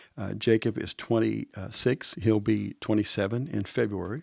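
A plain, everyday voice at a moderate pace in a very clean, dry and close recording with no echo and a silent background. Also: man. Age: 60s. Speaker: church staff member, podcast co-host. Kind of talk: casual chat. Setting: studio at church.

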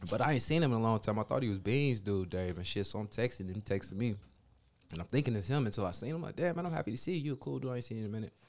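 At a very fast pace, a man talks with medium pitch and lively intonation. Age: 40s. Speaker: podcast host. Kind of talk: casual banter, profane.

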